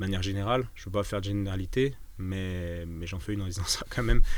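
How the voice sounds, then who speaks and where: Audible echo fills the room as a man talks. His pitch is fairly low and his pace fairly quick. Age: 30s. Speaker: osteopath and entrepreneur. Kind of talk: casual interview chat. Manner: hesitant, many fillers and repetitions.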